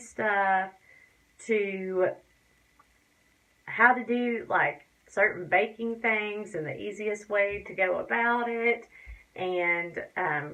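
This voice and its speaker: Speaking very slowly in a strong Tennessee accent, a woman uses a fairly high pitch and a bright, sharp tone. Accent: Tennessee Southern US accent, fairly strong. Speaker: beauty and crafts vlogger. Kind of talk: casual vlog tutorial talk. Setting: home bathroom.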